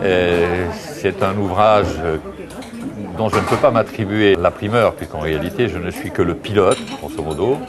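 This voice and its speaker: Fairly slow speech from a man with long, frequent pauses and ordinary pitch variation, over noticeable background noise. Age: 60s. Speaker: author. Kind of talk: interview. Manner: halting.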